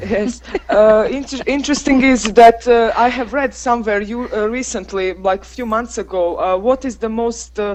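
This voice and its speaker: A woman with a Croatian accent speaks at a fairly high pitch with ordinary pitch variation and big swings in loudness. Her pace is moderate, with hardly any pauses. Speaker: English teacher. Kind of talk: casual group chat. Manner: halting.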